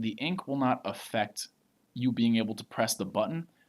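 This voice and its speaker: A man speaks in an ordinary speaking voice at a medium pitch and a moderate pace. The recording is very clean, with a silent background. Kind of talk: tutorial.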